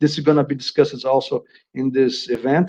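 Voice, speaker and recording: With a strong Brazilian accent, a man speaks in a fairly high, dark, mellow voice with fairly even intonation. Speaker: agricultural inspection executive presenter. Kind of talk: webinar presentation. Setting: online webinar. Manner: halting, many fillers and repetitions.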